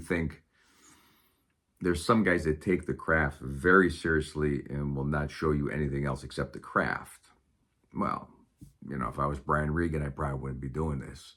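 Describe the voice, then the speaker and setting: Using a very deep, low pitch with vocal fry, a man talks at a moderate pace with fairly even intonation. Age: 60s. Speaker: stand-up comedian. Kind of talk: casual monologue to camera. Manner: serious, unscripted.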